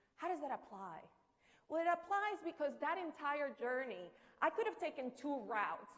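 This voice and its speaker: A woman's high-pitched voice with a Spanish accent, a fairly quick pace and noticeable background noise. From Colombia, Barrancabermeja. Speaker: entrepreneur, keynote speaker. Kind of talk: conference keynote speech.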